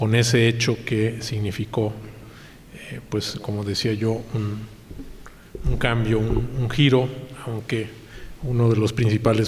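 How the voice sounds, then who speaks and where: Noticeable background noise and audible room echo surround a man speaking at a moderate pace with fairly even intonation. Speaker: lecturer. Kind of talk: lecture. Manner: halting with frequent repetitions.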